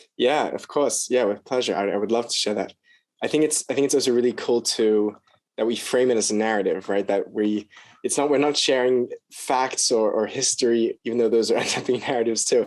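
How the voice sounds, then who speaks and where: The speaker talks at a fairly quick pace with an American accent. Intonation stays fairly even. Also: man, medium pitch for a man. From Australia (Sydney). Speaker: scholar of mysticism, video creator. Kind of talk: podcast interview.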